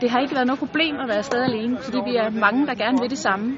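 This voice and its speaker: A woman's high voice at a very fast pace with ordinary pitch variation, audible room echo and crowd noise in the background. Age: 40s. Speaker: amateur tennis player. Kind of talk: testimonial interview. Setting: tennis resort in Turkey.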